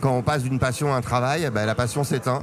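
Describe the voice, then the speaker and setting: This man races along at a very fast pace, with noticeable noise behind him. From Paris, France. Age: 40s. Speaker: amateur poker champion. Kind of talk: casual interview. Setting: poker tournament venue.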